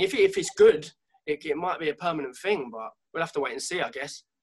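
A man with a London accent talks at a very fast pace. His intonation is lively. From North London, England. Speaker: singer-songwriter. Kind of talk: casual chat.

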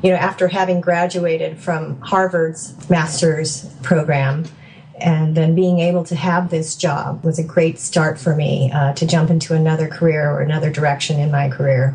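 A woman with an American accent speaks at a moderate pace and fairly low pitch, her loudness very even and her intonation fairly even, with noticeable background noise behind her. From California. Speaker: software developer and mother. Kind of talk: interview conversation.

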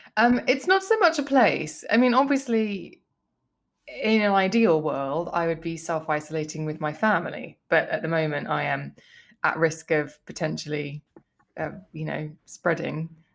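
The speech moves at a moderate pace on a very clean recording with a silent background. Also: woman. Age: 40s. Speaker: beauty journalist and podcaster. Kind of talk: casual chat.

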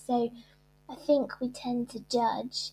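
A woman speaks with a British accent. Her high pitch stays monotone and flat. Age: 40s. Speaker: author and shyness campaigner. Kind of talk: interview.

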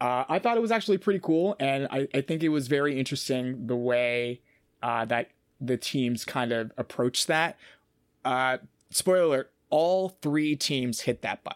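A man with an American accent speaks at a moderate pace in a fairly high pitch with lively intonation. The recording is very clean with a silent background and a dry, close sound with no echo. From Boston, US. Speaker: game show challenge producer. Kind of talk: casual podcast chat. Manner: halting, many fillers and repetitions.

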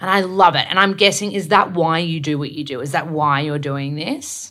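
A woman speaks with a husky, bright, sharp tone at a low pitch. Her intonation is lively and her pace moderate.

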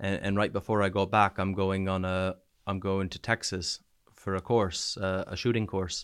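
A man with a Canadian East Coast accent talks at a moderate pace and a fairly low pitch, with monotone, flat intonation, on a very clean recording with a silent background. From New Brunswick, Canada. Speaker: soldier back from Ukraine. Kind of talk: casual interview, telling war stories. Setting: studio, in-person interview in Bournemouth.

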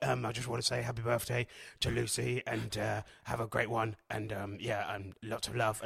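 A man puts on a raspy, gruff character voice at medium pitch and a moderate pace. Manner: gruff, blunt.

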